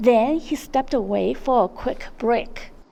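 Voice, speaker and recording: A woman speaks at a high pitch with ordinary pitch variation. Noticeable background noise runs underneath. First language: not English. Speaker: vlogger. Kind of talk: vlog narration. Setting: outdoors.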